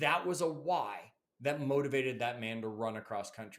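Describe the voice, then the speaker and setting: With a Canadian accent, a man with a fairly high pitch speaks in an animated tone at a moderate pace. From Canada, Toronto. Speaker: podcast host, motivational author. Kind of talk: motivational podcast monologue.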